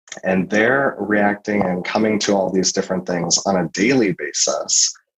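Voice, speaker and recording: At a moderate pace, a man speaks with an American accent. His fairly low pitch shows ordinary pitch variation. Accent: sometimes heard as Canadian, Upper Midwest. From US Midwest, Minnesota. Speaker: clinical psychologist, researcher. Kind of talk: interview.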